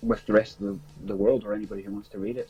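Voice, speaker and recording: A man talks at a very fast pace with a strong Northern Irish accent. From Northern Ireland, small town. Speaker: music writer and promoter. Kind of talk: interview. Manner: halting.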